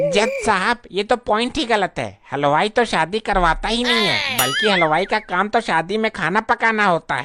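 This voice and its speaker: Doing a cartoonish character voice, a man speaks at a high pitch in a raised, projected voice at a moderate pace. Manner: folksy, blundering.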